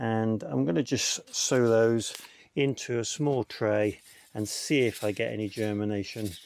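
Over light background noise, a man talks at a fairly slow pace in a fairly low voice, the sound dry with no echo. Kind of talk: tutorial. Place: garden.

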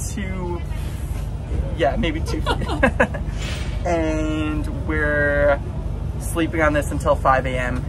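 Music plays in the background as a man talks at a very slow pace. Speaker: travel vlogger. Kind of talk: casual vlog chat. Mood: cheerful, laughing. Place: boat. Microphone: phone near.

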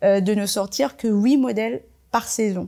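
Against a quiet background, a woman speaks at a fairly slow pace in a dark, mellow tone, her medium pitch moving with ordinary variation. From Marseille, France (born in Comoros); France. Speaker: fashion designer; interviewee. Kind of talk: panel talk. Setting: library event with audience.

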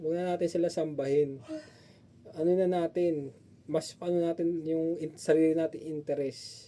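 Fairly high in pitch, a man speaks with fairly even intonation at a moderate pace. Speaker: vlogger. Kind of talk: opinion vlog. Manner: halting.

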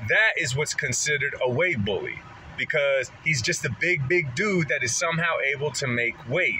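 A man talks at a moderate pace in a fairly high pitch with ordinary pitch variation. His tone is bright and sharp, and faint background noise sits behind him.

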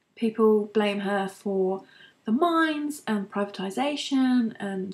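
Her voice is somewhat breathy. The woman has a British accent. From UK. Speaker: beauty and lifestyle vlogger. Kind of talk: casual monologue vlog. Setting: at home, recording to camera. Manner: hesitant, many fillers. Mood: opinionated, conversational. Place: home room. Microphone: webcam.

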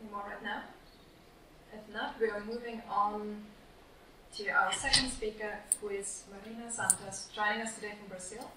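Amid noticeable background noise and audible room echo, a woman with a fairly high pitch speaks in monotone, flat intonation at a moderate pace with long, frequent pauses. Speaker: panel moderator. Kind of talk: panel moderation. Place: meeting room.

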